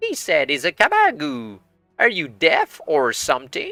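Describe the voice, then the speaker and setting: Faint music plays behind a man doing a put-on character voice. He speaks at a moderate pace and a fairly high pitch. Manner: piping, sarcastic.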